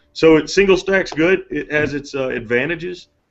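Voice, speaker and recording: A man's ordinary speaking voice at a fairly quick pace, with ordinary pitch variation. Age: 30s. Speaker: firearms company representative. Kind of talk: casual chat.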